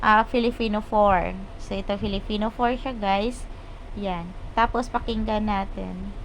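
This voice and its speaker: A woman speaks with a plain, everyday voice at a fairly high pitch. Her pace is fairly slow and her intonation fairly even. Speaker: YouTube tutorial creator. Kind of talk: tutorial. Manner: casual.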